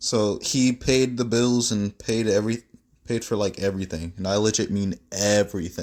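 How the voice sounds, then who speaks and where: A man with a plain, everyday voice, fairly low in pitch, at a moderate pace with ordinary pitch variation, on a very clean recording with a silent background. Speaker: fan fiction storyteller. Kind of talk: casual storytelling monologue.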